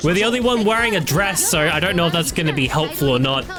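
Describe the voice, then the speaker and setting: Music plays in the background as a man talks at a fairly quick pace. His high voice makes very wide pitch swings. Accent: Australian. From Australia. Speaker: video game streamer. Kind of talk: casual gaming livestream commentary. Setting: live stream. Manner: very fast talker.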